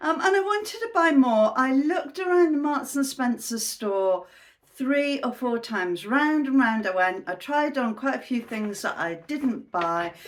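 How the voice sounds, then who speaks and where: With a British accent, a woman speaks at a high pitch and a fairly slow pace. Her pitch swings very widely, and there are hardly any pauses. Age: 60s. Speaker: fashion haul vlogger. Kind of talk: casual talk to camera.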